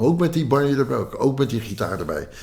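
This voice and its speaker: This man's dark, mellow tone shows vocal fry as he moves at a fairly quick pace with lively intonation. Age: 80s+. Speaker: banjo player and folk musician. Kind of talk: interview storytelling. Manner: halting, many fillers.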